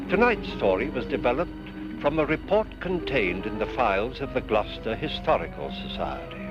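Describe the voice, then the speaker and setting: Music in the background behind a man's fairly quick speech. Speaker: anthology series host. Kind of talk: TV anthology host introduction.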